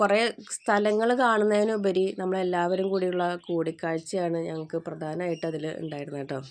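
Its pitch varying in an ordinary way, this is a normal speaking voice. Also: woman, fairly low pitch for a woman. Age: middle-aged. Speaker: vlogger. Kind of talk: travel vlog narration. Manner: casual, chatty.

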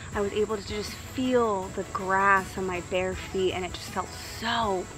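A woman talks with fairly even intonation in a dry sound with no echo, against noticeable background noise. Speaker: wellness vlogger. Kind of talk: casual motivational vlog talk. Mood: calm, warm. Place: garden.

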